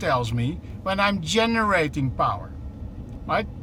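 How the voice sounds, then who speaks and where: A man at a moderate pace with audible room echo. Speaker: truck company executive. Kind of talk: live demo while driving. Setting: in a truck cab. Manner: animated.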